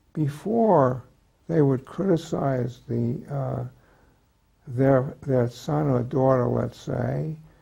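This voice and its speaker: A man's very slow, somewhat breathy delivery, medium in pitch, with a dark, mellow tone and lively intonation. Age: 90s. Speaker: retired psychiatrist and author. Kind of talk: interview. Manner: halting, many hesitations.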